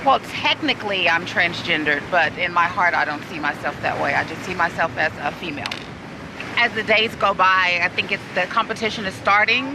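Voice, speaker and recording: A woman with a Texan accent talks at a fairly quick pace and a medium pitch. Her intonation is lively, with noticeable background noise. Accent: Texan American. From Texas, Dallas. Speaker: beauty pageant contestant. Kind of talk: interview.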